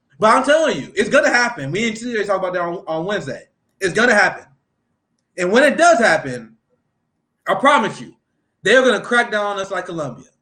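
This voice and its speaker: Raising and projecting his voice, a man with a high pitch and a bright, sharp tone speaks at a very fast pace, his pitch swinging very widely and his loudness shifting a lot, with long, frequent pauses. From US Midwest. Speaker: political livestreamer. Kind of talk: casual chat.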